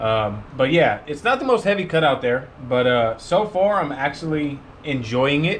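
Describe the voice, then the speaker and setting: At a moderate pace, a man with a fairly high pitch speaks with lively intonation amid audible room echo. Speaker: car detailing YouTuber. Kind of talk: tutorial. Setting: garage with door open. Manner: loud.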